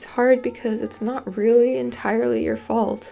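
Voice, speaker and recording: Music in the background behind a woman talking at a moderate pace. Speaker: college student. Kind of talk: video essay narration.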